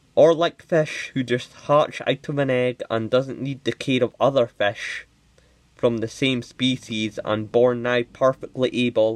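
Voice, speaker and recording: Mumbling at medium pitch with fairly even intonation, the man sounds dry and close with no echo. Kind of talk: unscripted commentary to camera. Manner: mumbly; hesitant, many filler words.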